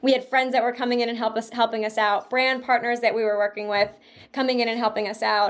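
A woman talks at a very fast pace in a fairly high pitch. Her tone is animated. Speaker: journalist and podcast host. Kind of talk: casual interview chat. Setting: remote call.

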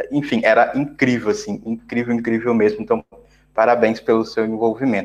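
Lively intonation colors a man's voice, pitched fairly high. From Brazil. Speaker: podcast host, software developer. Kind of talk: interview conversation.

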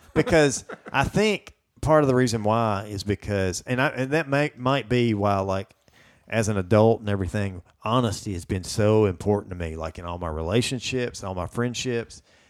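On a very clean recording with a silent background, a man with a Southern US accent speaks at a moderate pace in a fairly low voice with ordinary pitch variation. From US South. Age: 40s. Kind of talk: casual chat. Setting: studio.

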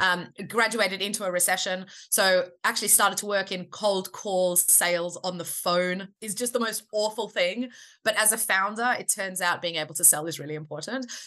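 At a moderate pace, a woman with an Australian accent speaks in a bright, sharp tone with fairly even intonation. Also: medium pitch for a woman. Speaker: startup founder and CEO. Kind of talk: casual interview.

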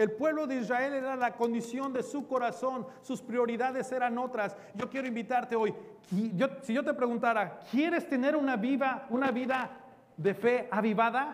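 Speaking at a fairly slow pace, a man with an extremely high pitch keeps his intonation fairly even while audible room echo surrounds his voice. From Mexico. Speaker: pastor. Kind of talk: sermon.

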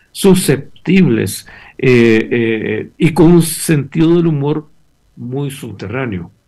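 A man speaks at a medium pitch with lively intonation. Vocal fry runs through his voice. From Guatemala, Chimaltenango. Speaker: novelist. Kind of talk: interview.

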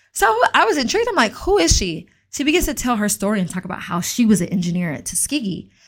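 Somewhat breathy, a woman with an American accent races along at a very fast pace, her fairly high pitch making very wide swings. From US South, Atlanta, Georgia. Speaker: podcast host, tech founder. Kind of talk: solo podcast monologue, personal story. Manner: casual, conversational.

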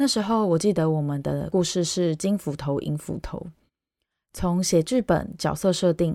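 In a very clean recording with a silent background and a dry, close sound with no echo, a woman with a Taiwanese accent speaks at a moderate pace with fairly low pitch, ordinary pitch variation and a dark, mellow tone. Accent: Taiwanese Mandarin. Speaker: podcast host, Chinese teacher. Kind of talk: personal monologue podcast.

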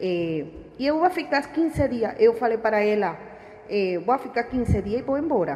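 With a Spanish accent, a woman speaks in very wide pitch swings over noticeable background noise. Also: moderate pace. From Venezuela. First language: Spanish (speaking Portuguese). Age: 40s. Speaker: refugee worker at a utility company. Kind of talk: interview. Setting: studio. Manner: halting.

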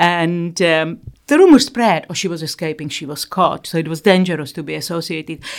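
The recording is very clean, with a silent background. The speaker has a Czech accent and ordinary pitch variation. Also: woman, fairly low pitch for a woman, moderate pace. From Czechoslovakia. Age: 60s. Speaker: eating disorder therapist. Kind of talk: interview.

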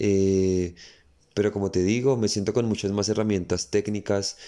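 Flat and monotone, a man's fairly low voice comes through in a dark, mellow tone on a very clean recording with a silent background. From Colombia. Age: 20s. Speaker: dancer and dance school director. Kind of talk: interview conversation.

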